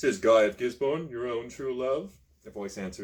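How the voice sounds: Intonation here is lively. It comes through a natural reading voice.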